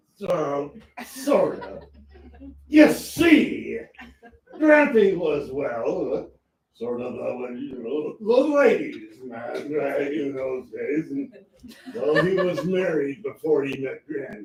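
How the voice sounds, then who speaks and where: Putting on a character voice, a man speaks very slowly at a fairly high pitch with a slight echo. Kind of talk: campy melodrama comic acting. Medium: stage play. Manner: rambling, folksy, full of hesitations.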